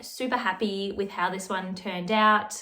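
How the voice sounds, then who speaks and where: A woman with an Australian accent speaks at a medium pitch in a bright, sharp tone. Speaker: knitting youtuber. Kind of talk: casual vlog. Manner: chatty, casual.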